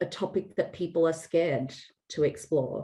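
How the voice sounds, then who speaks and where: A woman with an Australian accent speaks at a very slow pace. Her pitch is fairly low. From Australia, Sydney. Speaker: founder of online community, data leader. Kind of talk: interview. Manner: conversational, with fillers.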